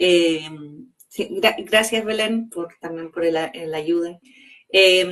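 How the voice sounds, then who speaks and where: At a very slow pace, a woman with a fairly low pitch and fairly even intonation speaks with long, frequent pauses and big swings in loudness. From Chile. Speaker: organizational psychologist and coach. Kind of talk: interview conversation. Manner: hesitant, many fillers.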